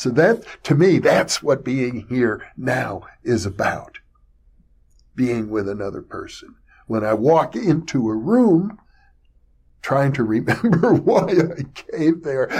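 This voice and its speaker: A man's fairly high, somewhat breathy voice in a relaxed tone, very slow and full of long, frequent pauses, with very wide pitch swings. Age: 70s. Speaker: online video host on parapsychology and consciousness. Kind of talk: solo monologue. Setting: recorded video monologue. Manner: reflective, relaxed with hesitations.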